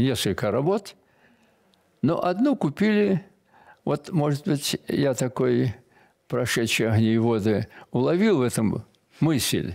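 Against a quiet background, a man speaks fairly slowly with long, frequent pauses. His loudness is very even while his pitch swings very widely. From Belarus, village. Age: 80s+. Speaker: military painter; guest. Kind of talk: interview. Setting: studio. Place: studio.

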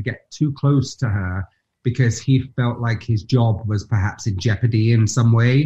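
A man's dark, mellow, somewhat breathy voice at medium pitch, with ordinary pitch variation and a fairly slow pace. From Nottingham, England; England. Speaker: actor; interview guest, actor. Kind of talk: interview answer. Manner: animated storytelling. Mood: animated, amused storytelling. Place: home room. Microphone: video call.

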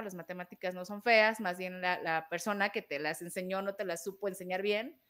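The background stays quiet. A woman's words come out at a very fast pace. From Mexico. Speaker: programming educator. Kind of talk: casual chat. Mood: friendly, explanatory.

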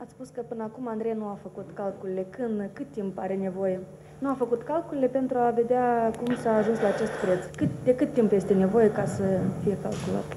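Over noticeable background noise, a woman with a fairly high voice speaks at a moderate pace, with ordinary pitch variation and big swings in loudness. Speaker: journalist. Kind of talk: press conference questions. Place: meeting room.

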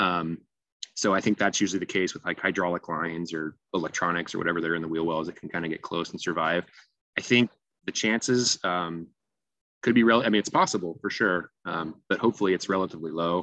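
The man's voice sits very deep and low, with a bright, sharp tone. The sound is dry with no echo, over a quiet background. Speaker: invasive species manager. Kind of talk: webinar presentation; webinar presentation and Q&A answers. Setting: video call. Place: home room. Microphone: video call.

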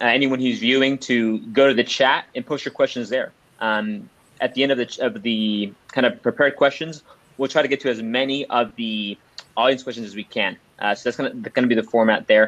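Fairly quick speech from a man, with ordinary pitch variation. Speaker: panel moderator. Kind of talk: moderated panel introduction. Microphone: video call.

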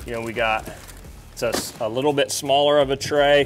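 Clear music plays in the background behind speech with fairly even intonation. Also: man. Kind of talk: casual walkthrough tour. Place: garage. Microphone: lapel.

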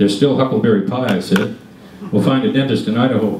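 A man speaks at a fairly quick pace. Room echo is audible, along with light background noise. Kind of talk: reading of a travel story. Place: meeting room.

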